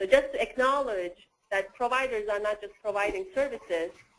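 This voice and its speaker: The speech moves at a fairly quick pace. It comes with a non-native accent. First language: not English. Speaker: workgroup facilitator presenting a diagram. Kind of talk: work meeting discussion.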